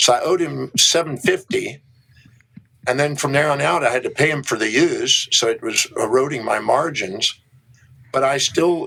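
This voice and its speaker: With a normal speaking voice and an American accent, a man speaks at a moderate pace and a fairly high pitch, with ordinary pitch variation. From Texas, Houston. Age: 60s. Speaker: human behavior specialist and author. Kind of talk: interview, personal story.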